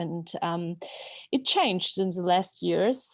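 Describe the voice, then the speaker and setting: Someone with a Georgian accent speaks at a very slow pace against a quiet background. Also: woman. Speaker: novelist. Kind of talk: interview. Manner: halting.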